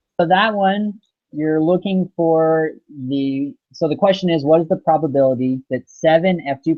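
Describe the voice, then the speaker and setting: A man with an ordinary speaking voice, pitched fairly high, moving at a moderate pace and lively in intonation. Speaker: student. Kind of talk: homework help session.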